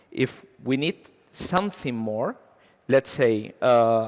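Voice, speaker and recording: A man speaks with a Spanish accent. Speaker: software engineer. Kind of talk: conference talk. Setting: stage with audience. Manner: halting, many fillers.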